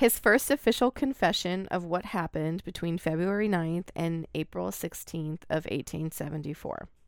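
A woman talks at a moderate pace in an ordinary speaking voice with fairly low pitch. The recording is very clean, with a silent background. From Oregon, US. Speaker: podcast co-host. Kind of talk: storytelling.

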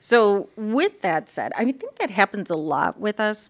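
A woman in an ordinary speaking voice, moderate pace and lively intonation, on a very clean recording with a silent background. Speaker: interviewer. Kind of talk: interview.

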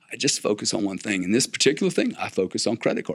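A man with a South Louisiana accent talks at a fairly quick pace in a fairly low pitch. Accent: South Louisiana Southern US. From US South, South Louisiana. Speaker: business executive and investor. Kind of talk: interview conversation. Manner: repetitive stammering starts.

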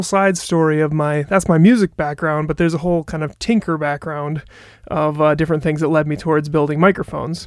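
Speaking in a normal speaking voice with an American accent, a man talks at a fairly quick pace and a fairly high pitch on a very clean recording with a silent background. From Wisconsin, near Appleton. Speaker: microphone designer. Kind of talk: interview.

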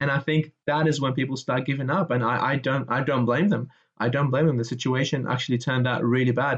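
The speech runs at a very fast pace with hardly any pauses, fairly even intonation and very even loudness. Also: man, medium pitch for a man. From Iraq. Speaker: architecture graduate. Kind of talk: interview. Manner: halting, repeats words.

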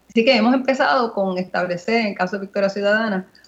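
A woman talks at medium pitch with a somewhat breathy voice. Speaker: politician. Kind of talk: radio interview.

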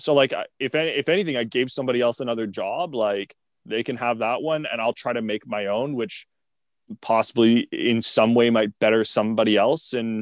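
An ordinary speaking voice from a man with a Canadian accent, medium pitch and ordinary pitch variation, dry and close with no echo against a quiet background. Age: 20s. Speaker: content creator and clothing brand owner. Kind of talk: casual interview.

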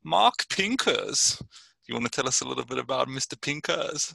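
Recorded with a dry, close sound and no echo, a man speaks at a moderate pace with an English accent. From southern England, Brighton. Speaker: podcast co-host. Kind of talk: casual chat.

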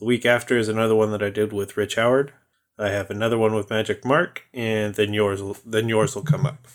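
A man's fairly low, ordinary speaking voice with an American accent, fairly quick and fairly even in intonation. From California. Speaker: podcast host, dungeon master. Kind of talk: casual chat.

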